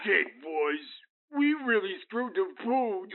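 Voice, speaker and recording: This man uses a put-on character voice at an extremely high pitch, with very wide pitch swings. He speaks at a fairly slow pace. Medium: audio drama. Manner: hesitant, halting.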